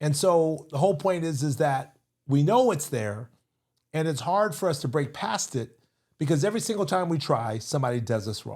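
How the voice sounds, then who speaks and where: With an American accent, this voice is somewhat breathy, moving at a moderate pace with lively intonation. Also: man, fairly high pitch for a man. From California, Seaside. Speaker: entrepreneur and investment speaker. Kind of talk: interview conversation.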